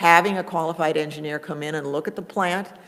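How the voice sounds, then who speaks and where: A woman talks at a fairly quick pace with a fairly low pitch. Noticeable background noise is present. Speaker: conference presenter on cable franchising. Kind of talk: conference workshop presentation. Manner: fast.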